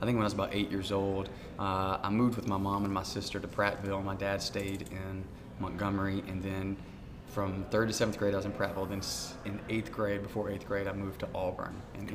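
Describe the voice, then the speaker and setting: In an Alabama accent, a man speaks at a fairly quick pace and a fairly low pitch with monotone, flat intonation and audible room echo. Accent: Southern US (Alabama). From US South, Alabama. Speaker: food truck owner, former missionary. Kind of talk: casual interview.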